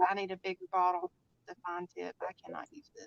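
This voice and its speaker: A woman speaks at a very fast pace in a monotone, flat intonation. The sound is dry and close, with no echo. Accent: strong Southern US. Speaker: crafter, live stream co-host. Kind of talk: casual chat during craft stream. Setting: live stream.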